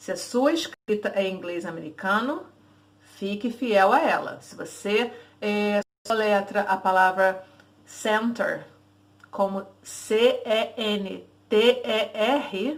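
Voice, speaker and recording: Speaking very slowly, a woman uses a fairly high pitch with ordinary pitch variation. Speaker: English teacher. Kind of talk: tutorial. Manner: casual, conversational.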